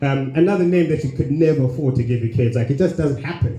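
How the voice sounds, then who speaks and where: In audible room echo over noticeable background noise, a man talks very fast at a fairly high pitch with ordinary pitch variation. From Zimbabwe. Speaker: stand-up comedian. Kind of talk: stand-up. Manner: halting, many repeated words.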